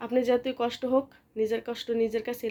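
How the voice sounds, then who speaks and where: A woman speaks with a high pitch and a dark, mellow tone. Her intonation stays fairly even. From Bangladesh, Comilla. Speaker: vlogger. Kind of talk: casual vlog talk and advice. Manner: casual, hesitant with fillers.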